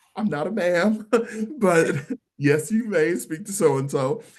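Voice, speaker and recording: With an American accent, the man speaks at a moderate pace. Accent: country accent, still comes out. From US South, Mississippi. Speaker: stage performer and singer. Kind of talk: casual interview chat.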